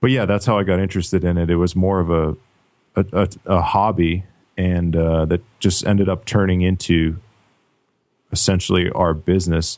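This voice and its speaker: A man with a very deep, low voice speaks at a moderate pace and very even volume, pausing long and often against a quiet background. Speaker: web design business founder, former pro football player. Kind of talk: interview.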